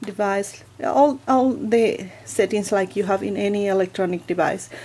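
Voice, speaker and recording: The voice has a dark, mellow tone and a non-native accent, moving at a fairly slow pace. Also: woman. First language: not English. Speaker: book vlogger. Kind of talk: product review tutorial. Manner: hesitant, many fillers.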